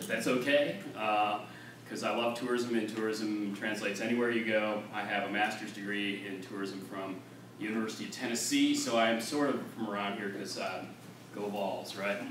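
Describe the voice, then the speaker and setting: A man with an American accent speaks in a fairly low, flat monotone. Room echo and noticeable background noise are audible. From Central New York. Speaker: tourism director and workshop presenter. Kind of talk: workshop presentation. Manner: fast.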